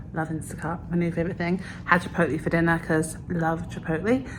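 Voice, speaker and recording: Noticeable background noise accompanies a woman who talks fairly quickly at a fairly low pitch. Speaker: vlogger. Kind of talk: casual vlog talk.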